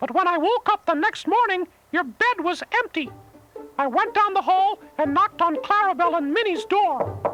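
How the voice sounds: In a cartoonish character voice, a man speaks at an extremely high pitch with a bright, sharp tone, lively intonation and a moderate pace, with faint music in the background.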